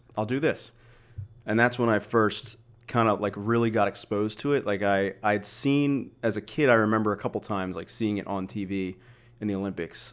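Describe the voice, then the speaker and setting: Very clean, with a silent background, the recording features a man with a normal speaking voice. His pitch is fairly low with ordinary variation, and his pace is fairly quick. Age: 30s. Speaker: weightlifting coach. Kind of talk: casual chat.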